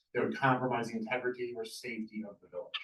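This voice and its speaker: Fairly briskly, a man talks in a mid-range pitch. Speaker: municipal attorney giving board training. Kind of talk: presentation to a village board. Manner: fast.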